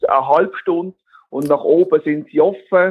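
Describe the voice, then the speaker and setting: In an ordinary speaking voice, a man talks at a fairly slow pace with ordinary pitch variation. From Basel region, Switzerland. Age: 40s. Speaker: geocaching event organiser. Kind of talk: interview.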